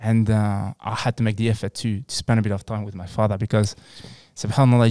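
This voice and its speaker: A man speaks with a French accent on a very clean recording with a silent background. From France, North African heritage. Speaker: psychologist and wellness centre founder. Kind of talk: casual chat. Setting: studio.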